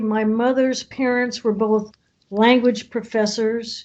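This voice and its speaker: Using a high voice and an American accent, a woman speaks at a very slow pace. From California (Oakland), US. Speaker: podcast co-host. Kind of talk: casual chat.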